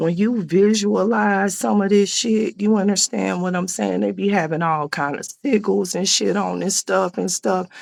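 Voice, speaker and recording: On a very clean recording with a silent background, a woman speaks at a moderate pace with hardly any pauses. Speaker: spiritual livestreamer. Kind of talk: live stream chat.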